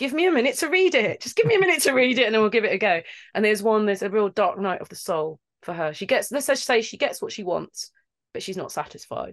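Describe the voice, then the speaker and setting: A woman's animated, very fast delivery with very wide pitch swings, over a quiet background. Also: fairly high pitch for a woman. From London, England. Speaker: voice actor. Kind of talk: casual chat. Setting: video call. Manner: animated, laughs often.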